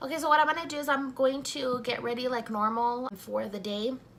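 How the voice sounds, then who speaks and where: Pitch varies in an ordinary way as the speaker goes at a fairly quick pace. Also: woman. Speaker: beauty vlogger. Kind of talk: casual makeup review.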